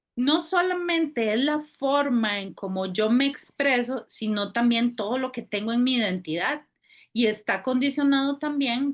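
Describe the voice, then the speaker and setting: Against a quiet background, a woman speaks at a fairly slow pace. Her voice is high, with lively intonation. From Costa Rica. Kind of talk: casual chat.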